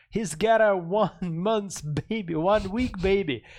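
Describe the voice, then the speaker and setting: A man speaks with a Middle Eastern accent at a high pitch. The background is quiet. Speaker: game developer. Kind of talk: casual chat. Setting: studio.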